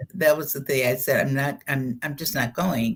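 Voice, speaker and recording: A woman is speaking. Her voice has vocal fry. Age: 70s. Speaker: spiritual channeler and educator. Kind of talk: interview. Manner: conversational storytelling.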